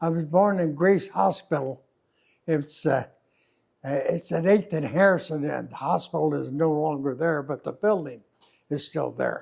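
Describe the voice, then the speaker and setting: A man speaks at a fairly slow pace in a fairly high voice with ordinary pitch variation. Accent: Midwestern American. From Kansas City, Missouri. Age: 80s+. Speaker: war veteran. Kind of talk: interview answer.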